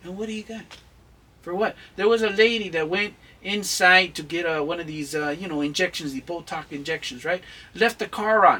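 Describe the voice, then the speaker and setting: This man's voice is high-pitched with a bright, sharp tone and big swings in loudness. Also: ordinary pitch variation, fairly quick pace. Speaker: channel host, mentor on Chicano culture. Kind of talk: advice-giving interview. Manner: intense, emphatic; halting with fillers.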